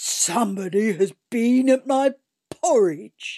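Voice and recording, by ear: A put-on character voice, female-sounding and gruff, fairly high in pitch at a fairly slow pace.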